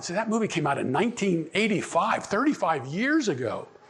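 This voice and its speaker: A man with an American accent, plus audible room echo. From Pittsburgh, Pennsylvania. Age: 70s. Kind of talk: conference talk. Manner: halting, many repetitions and fillers.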